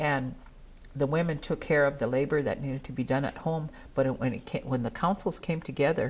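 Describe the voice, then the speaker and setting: Recorded very cleanly against a silent background, a woman with a very deep, low pitch talks at a fairly quick pace with fairly even intonation. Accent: Northern Plains. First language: Dakota. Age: old. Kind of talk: speech at a gathering.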